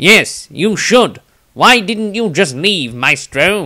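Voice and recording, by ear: Using a put-on character voice, a man speaks at a very slow pace in a high pitch with very wide pitch swings.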